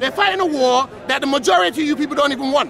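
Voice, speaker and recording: A man's extremely high-pitched voice at a fairly quick pace over crowd noise in the background. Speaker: local resident. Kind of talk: heated street argument. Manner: loud; animated.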